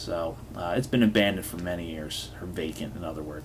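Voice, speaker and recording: A man's ordinary speaking voice at a moderate pace, lively in intonation, over light background noise. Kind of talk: casual vlog narration. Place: home room.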